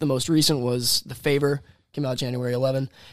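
At a fairly quick pace, a man speaks in a flat monotone at a medium pitch. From US South (Florida, DeLand). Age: 20s. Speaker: singer-songwriter. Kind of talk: casual chat.

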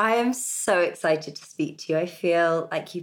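A British accent with ordinary pitch variation. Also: woman. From Britain. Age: 30s. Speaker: podcast host. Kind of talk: scripted intro; interview conversation.

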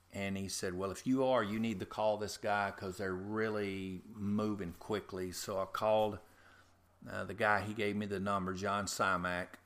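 A man with a Louisiana accent, fairly low pitch, monotone and flat intonation and a moderate pace, in a very clean recording with a silent background. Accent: US Southern (Louisiana). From Louisiana, north of Covington. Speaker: head groundskeeper. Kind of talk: interview. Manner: halting.

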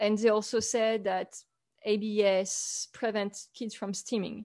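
A woman speaks at a fairly slow pace with a French accent. The background is quiet. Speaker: author and photographer. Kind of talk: interview.

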